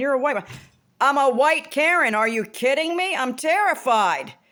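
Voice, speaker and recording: Bright and sharp in tone, a woman speaks with an American accent. Her delivery is animated, with very wide pitch swings. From Maryland, US. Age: 50s. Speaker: vlogger. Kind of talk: casual vlog monologue.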